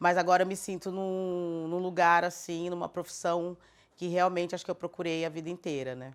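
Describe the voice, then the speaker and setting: This woman has an ordinary speaking voice, fairly low in pitch, and she talks at a moderate pace. The recording is very clean with a silent background. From southern Brazil, Florianópolis. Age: 50s. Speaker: cultural producer. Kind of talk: documentary interview.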